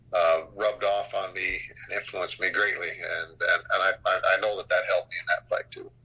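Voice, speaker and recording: This man talks at a fairly quick pace. He barely pauses between phrases. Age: 60s. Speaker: martial artist and former MMA fighter. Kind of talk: interview. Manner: halting, many repetitions and fillers.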